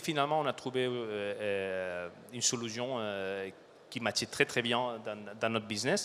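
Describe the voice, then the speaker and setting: A man speaks with a bright, sharp tone. He has a non-native accent. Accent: foreign accent, noticeable. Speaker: supply chain director. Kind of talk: conference talk. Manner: halting, many fillers.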